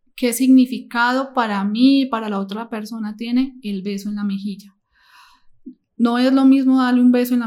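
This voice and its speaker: The woman's voice is somewhat breathy, and her intonation stays fairly even. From Colombia, Medellín. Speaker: nursing assistant and psychology student. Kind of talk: interview. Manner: halting.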